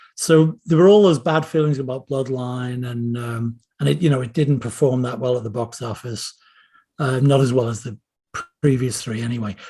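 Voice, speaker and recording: This man's voice has a dark, mellow tone, medium pitch and ordinary pitch variation, somewhat breathy and at a moderate pace. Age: 60s. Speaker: screenwriter and novelist. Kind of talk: casual interview chat.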